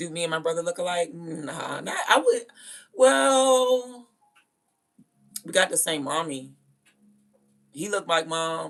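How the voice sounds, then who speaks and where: A woman's fairly low voice in an animated tone, with very wide pitch swings, big swings in loudness, a fairly slow pace and long, frequent pauses, over music in the background. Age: 30s. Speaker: livestreamer. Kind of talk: casual chat.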